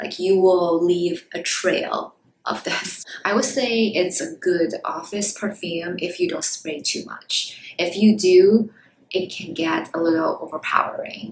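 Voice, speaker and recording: A woman with a medium pitch speaks at a fairly slow pace, her intonation lively. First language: not English. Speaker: beauty YouTuber. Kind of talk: product review vlog. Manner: casual, hesitant with fillers.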